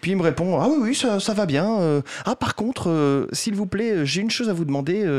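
A man with a high-pitched voice speaks over noticeable background noise. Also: lively intonation, moderate pace. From France, Poitiers. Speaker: game developer, association president. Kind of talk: radio interview. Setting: radio studio.

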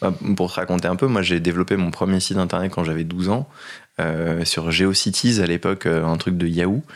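This man's very deep, low voice moves at a fairly quick clip on a very clean recording with a silent background. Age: 30s. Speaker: startup founder. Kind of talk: casual chat.

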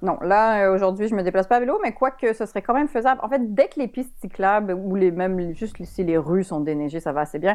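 This woman uses a normal speaking voice at medium pitch with lively intonation. She talks at a fairly quick pace with hardly any pauses, against a quiet background. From Quebec, Montreal. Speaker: author and columnist. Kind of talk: radio interview.

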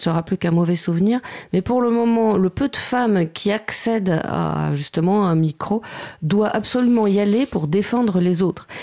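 With a dark, mellow tone, a woman speaks at a moderate pace with ordinary pitch variation, the sound dry and close with no echo. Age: 50s. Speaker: computer engineer and author. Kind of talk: radio panel discussion.

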